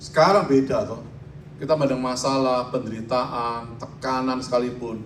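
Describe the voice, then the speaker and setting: A man talks at a moderate pace and medium pitch. Room echo can be heard. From Indonesia, Surabaya (East Java). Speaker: pastor. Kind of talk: sermon.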